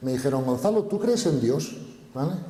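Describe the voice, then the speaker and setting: Lively intonation from a man with a fairly high pitch, in a room with audible echo. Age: 60s. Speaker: spiritual speaker. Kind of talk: conference Q&A. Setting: stage with audience.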